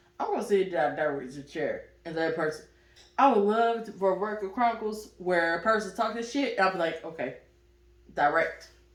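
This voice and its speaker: A woman at medium pitch, fairly quick in pace and lively in intonation, with audible room echo. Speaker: podcast host and producer. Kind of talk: casual chat. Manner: loud.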